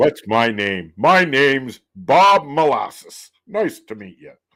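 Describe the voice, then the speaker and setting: A man uses a put-on character voice with a fairly high pitch. He speaks at a fairly slow pace. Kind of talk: pitchy, slick. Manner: smooth, salesy.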